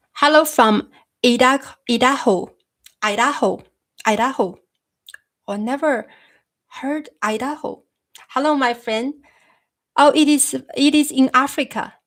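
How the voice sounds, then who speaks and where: A woman with a high pitch and ordinary pitch variation speaks at a fairly slow pace, leaving long, frequent pauses. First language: Chinese. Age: 30s. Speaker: YouTuber discussing philosophy. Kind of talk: live stream chat. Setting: live stream. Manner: halting. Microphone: new microphone.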